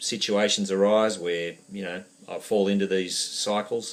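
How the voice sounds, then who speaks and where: A man speaks at a fairly slow pace and a fairly low pitch. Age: 50s. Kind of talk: video testimony. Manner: halting.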